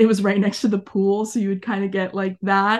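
With an American accent, a woman speaks at a medium pitch against a quiet background. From Arizona. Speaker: former youth program member and camp staff. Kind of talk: interview.

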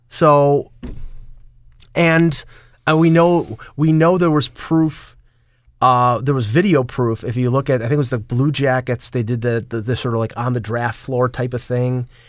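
A man with a Buffalo accent and ordinary pitch variation. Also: medium pitch for a man, fairly slow pace, very clean recording, silent background. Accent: Buffalo, western New York. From Buffalo, western New York. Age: 50s. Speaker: sports writer and radio caller. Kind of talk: casual chat. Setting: studio.

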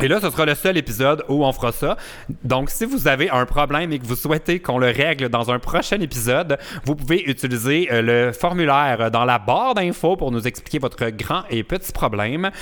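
Speaking with a Quebec accent, a man talks at a fairly quick pace with lively intonation and a fairly high pitch over noticeable background noise. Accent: Quebec French, unchanged. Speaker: podcast host. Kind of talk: casual chat.

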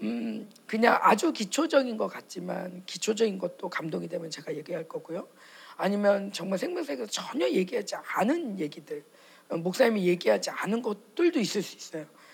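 Her voice sits at a medium pitch with vocal fry, and this woman sounds animated, her pitch swinging very widely. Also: moderate pace, big swings in loudness. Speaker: pastor's wife preacher. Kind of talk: sermon and prayer. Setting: church conference with audience. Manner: animated, fervent.

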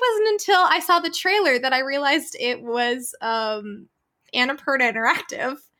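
A woman projects a raised, high-pitched voice with a bright, sharp tone and very wide pitch swings. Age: 20s. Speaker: voice actor. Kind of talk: interview.

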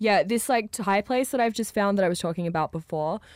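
With an Australian accent and lively intonation, the speaker is heard on a very clean recording against a silent background. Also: woman. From rural Australia. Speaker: DJ. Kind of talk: casual chat.

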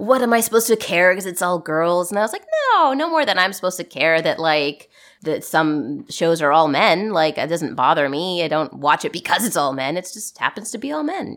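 A woman with a normal speaking voice talks at a fairly low pitch. Her pace is fairly quick and her intonation lively. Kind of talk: casual chat. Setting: remote call recorded in early morning.

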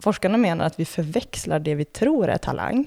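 With lively intonation and vocal fry, a woman speaks at a fairly low pitch in a dark, mellow tone. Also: dry, close sound with no echo. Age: 30s. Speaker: former elite floorball player and reporter. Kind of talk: scripted narration.

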